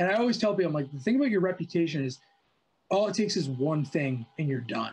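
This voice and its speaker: This speaker has a Canadian accent and an animated tone. The pace is very fast, with very wide pitch swings. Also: man, high pitch for a man. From Canada, Ottawa. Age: 20s. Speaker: drum technician and drum maker. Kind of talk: casual chat.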